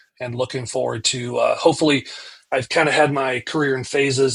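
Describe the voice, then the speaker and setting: A man with an American accent talks at a fairly quick pace, his medium-pitched voice held in a monotone, flat intonation. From US South (Georgia, South Carolina). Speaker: pastor. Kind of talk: casual chat. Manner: halting.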